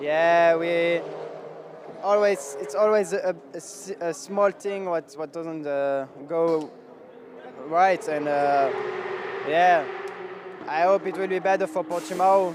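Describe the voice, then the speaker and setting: Amid noticeable background noise, a man with a French accent talks very slowly in a high voice, his intonation fairly even and broken by long, frequent pauses. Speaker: racing driver. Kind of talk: post-race interview. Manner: halting.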